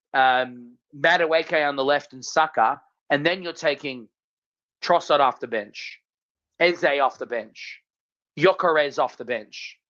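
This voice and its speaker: Against a quiet background, the speaker goes at a fairly slow pace with an Australian accent and long, frequent pauses. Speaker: football podcast co-host. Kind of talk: casual chat. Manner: animated.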